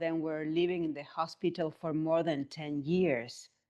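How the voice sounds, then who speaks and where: A woman speaks in an Argentinian accent at a fairly slow pace. The background is quiet. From Argentina. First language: Spanish. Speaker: somatic movement therapist. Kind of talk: interview.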